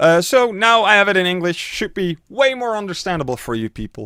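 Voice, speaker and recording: In a very clean recording with a silent background and a dry, close sound free of echo, a man with a Dutch accent speaks at a moderate pace in a high, bright, sharp voice whose pitch swings very widely. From Netherlands. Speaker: streamer and YouTuber. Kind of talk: tutorial. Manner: casual, filler-heavy.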